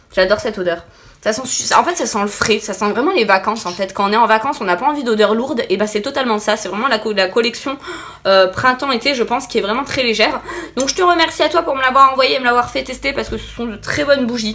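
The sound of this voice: This woman talks at a fast pace with a fairly high pitch and ordinary pitch variation. Her tone is bright and sharp.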